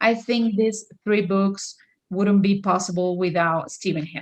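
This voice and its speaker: In a Spanish accent, a woman speaks at a moderate pace and medium pitch with fairly even intonation. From Venezuela. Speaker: author. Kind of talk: interview.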